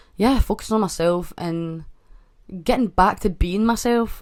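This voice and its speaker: A woman with a Scottish accent at a fairly quick pace, her intonation fairly even. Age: 20s. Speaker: podcast host. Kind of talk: casual chat. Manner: stutters often.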